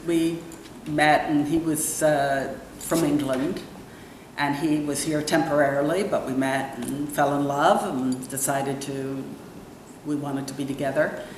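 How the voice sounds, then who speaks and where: A woman with a very deep, low pitch speaks at a fairly slow pace in a monotone, flat way, with audible room echo and noticeable background noise. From New York area, US. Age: 60s. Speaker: entrepreneur and real estate broker. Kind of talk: interview. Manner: hesitant, with many fillers.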